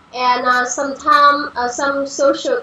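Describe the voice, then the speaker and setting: A woman speaks in a raised, projected voice with a Vietnamese accent. Her intonation is fairly even, and background noise is noticeable. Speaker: panel guest. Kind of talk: discussion. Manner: halting.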